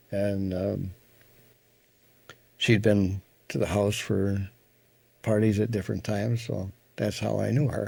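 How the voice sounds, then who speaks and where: With an Upper Midwest accent, a man talks at a fairly slow pace and fairly low pitch in a dark, mellow tone, his intonation fairly even and his pauses long and frequent. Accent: Upper Midwest American. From Wisconsin, USA. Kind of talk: interview answer. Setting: home recording.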